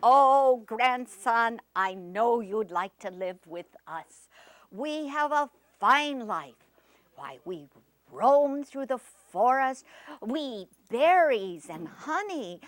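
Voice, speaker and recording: A woman puts on a character voice, speaking very slowly at a high pitch. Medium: read story. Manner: motherly, coaxing.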